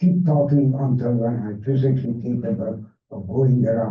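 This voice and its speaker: A man speaks at a fairly slow pace in a somewhat breathy voice, with audible room echo. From Hungary, Budapest. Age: 80s+. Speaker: Holocaust survivor speaker. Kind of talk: public talk. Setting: library event with audience.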